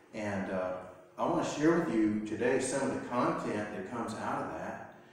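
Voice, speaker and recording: In a room with strong echo, a man speaks at a moderate pace with ordinary pitch variation. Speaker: pastor. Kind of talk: sermon. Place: church. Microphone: camera far.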